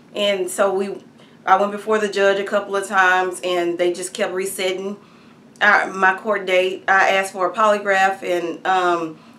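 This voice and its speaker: With an American accent, a woman speaks at a moderate pace in a medium pitch, her tone bright and sharp but her intonation monotone and flat. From Texas, Hearn. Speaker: activist telling her legal story. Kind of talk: testimony. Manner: halting, many fillers.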